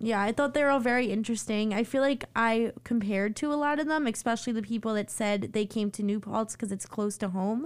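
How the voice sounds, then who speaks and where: On a very clean recording with a silent background, a woman with an American accent and a plain, everyday voice speaks at a fairly quick pace and fairly high pitch, with ordinary pitch variation, hardly any pauses and very even loudness. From Long Island, New York. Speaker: student podcast host. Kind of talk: casual chat.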